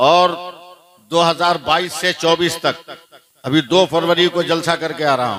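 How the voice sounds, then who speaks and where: A man is speaking. His pitch is high. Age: 60s. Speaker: Islamic preacher. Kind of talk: religious speech to a gathering. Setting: mosque gathering with audience.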